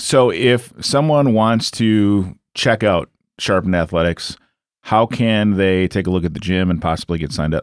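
At a moderate pace, a man with a fairly low pitch and ordinary pitch variation talks in a normal speaking voice on a very clean recording with a silent background. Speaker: podcast host. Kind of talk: casual interview chat. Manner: upbeat, friendly.

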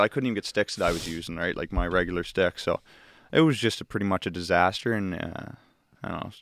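A man talks very fast in a fairly low pitch, recorded very cleanly against a silent background with a dry, close sound and no echo. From Nova Scotia, Canada. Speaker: university hockey player. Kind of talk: casual chat.

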